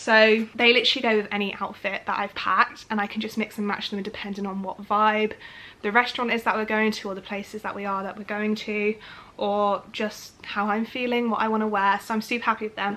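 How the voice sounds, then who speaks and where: A woman with a British accent speaks at a fairly quick pace in a fairly high pitch. Her tone is bright and sharp, her intonation monotone and flat. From United Kingdom. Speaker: lifestyle vlogger. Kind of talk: casual chatty talk to camera. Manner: chatty, informal.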